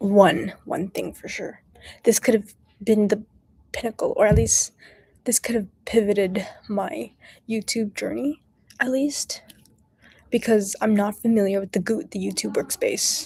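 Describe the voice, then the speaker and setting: A soft-spoken woman talks at a fairly slow pace with long, frequent pauses. Her loudness swings widely. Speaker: study-with-me streamer. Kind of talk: casual livestream chat. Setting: public area. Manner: quiet, soft-spoken.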